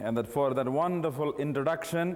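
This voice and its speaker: Heard with audible room echo, a man with a Keralite accent speaks at a moderate pace in a fairly high pitch. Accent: Indian (Keralite), jokingly called southern. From South India, Kerala. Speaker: missionary preacher. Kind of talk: sermon. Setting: conference with audience.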